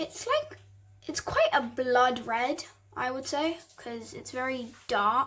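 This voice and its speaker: In a British accent, a woman speaks very slowly at a high pitch with ordinary pitch variation. Her loudness swings widely. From England. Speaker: hobby vlogger. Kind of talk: casual tutorial voiceover. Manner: casual, chatty.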